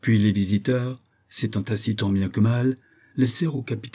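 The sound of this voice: The clip is an unforced reading voice. It reads throughout in that unforced way.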